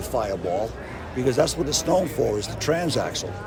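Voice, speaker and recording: With a Boston accent, a man talks at a medium pitch with lively intonation. Noticeable background noise and audible room echo come through. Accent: Boston-area. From New England (near Boston). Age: 70s. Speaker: yo-yo company founder. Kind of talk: interview storytelling. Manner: halting, many fillers.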